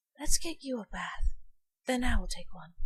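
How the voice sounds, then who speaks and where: A female-sounding voice, soft-spoken and high-pitched, is clearly a put-on character voice. It moves at a moderate pace. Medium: read story.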